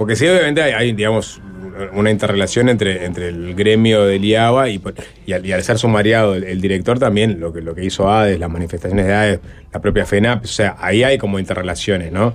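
The man's voice sits fairly low, with ordinary pitch variation. He rushes along at a very fast pace. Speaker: radio host. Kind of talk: casual chat. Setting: studio.

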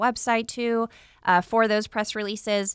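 Recorded very cleanly with a silent background and a dry, close sound with no echo, a woman speaks at medium pitch and a moderate pace in a bright, sharp tone. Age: 30s. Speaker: radio show host, chamber of commerce communications manager. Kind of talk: casual interview.

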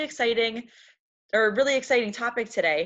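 A woman talks at a fairly quick pace in a normal speaking voice. Her pitch varies in an ordinary way. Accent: American. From US Midwest, Wisconsin. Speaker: podcast co-host. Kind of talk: casual chat.

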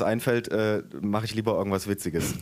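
On a very clean recording with a silent background, a man with an eastern German accent speaks at a fairly low pitch with fairly even intonation. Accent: very faint eastern German dialect. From eastern Germany, Dessau (Saxony-Anhalt). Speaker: author. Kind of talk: reading aloud.

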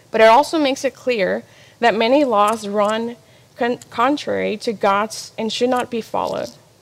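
An unremarkable speaking voice belongs to a woman. Her pitch shows ordinary variation. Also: fairly high pitch for a woman, moderate pace. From Mexico-born, raised in US from age three. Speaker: ministry apprentice. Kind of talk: personal testimony talk.

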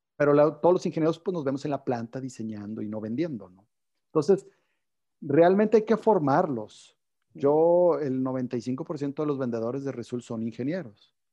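A man's fairly high voice, dark and mellow in tone, with lively intonation at a moderate pace. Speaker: company CEO. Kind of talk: interview. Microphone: connection cutting out.

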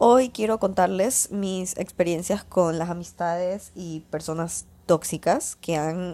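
In a very clean recording with a silent background, a woman of medium pitch speaks very slowly in a dark, mellow tone. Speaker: podcast host. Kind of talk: casual monologue.

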